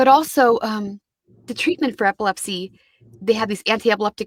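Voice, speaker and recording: A woman with a Midwestern American accent speaks fairly quickly at a fairly high pitch, her pitch varying in an ordinary way, in a dry, close sound with no echo. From Kansas City, USA. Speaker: audiobook narrator. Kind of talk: interview answer.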